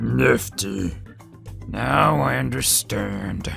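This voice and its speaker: A man does a raspy, put-on character voice at a very deep, low pitch over clear music in the background. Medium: dub.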